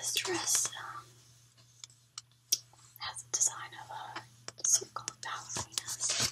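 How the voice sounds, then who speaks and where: Whispering and soft-spoken, a woman talks at a very slow pace. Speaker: vlogger. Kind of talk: casual vlog chat. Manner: soft ASMR whisper close to camera. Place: home room. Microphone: webcam.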